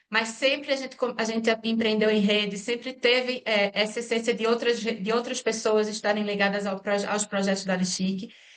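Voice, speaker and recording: A woman speaks with a fairly high pitch and monotone, flat intonation. Noticeable noise sits in the background. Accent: Pernambuco. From Brazil, Pernambuco. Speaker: engineer and social entrepreneur. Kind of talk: interview. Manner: halting, many fillers.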